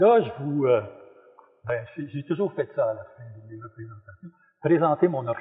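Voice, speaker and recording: Speaking at a fairly slow pace, a man's voice shows very wide pitch swings. His pitch rises and falls sharply throughout. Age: 70s. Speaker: clown and retired theology worker. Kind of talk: talk-show performance to live audience. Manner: casual, humorous.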